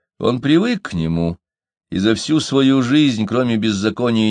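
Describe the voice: Lively intonation in plain reading aloud, with a quiet background.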